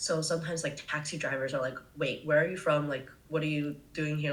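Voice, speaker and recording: A woman with a very deep, low pitch talks at a fairly quick pace, with audible room echo. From US, California Bay Area. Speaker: travel content creator. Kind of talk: casual podcast interview. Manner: casual, filler-heavy.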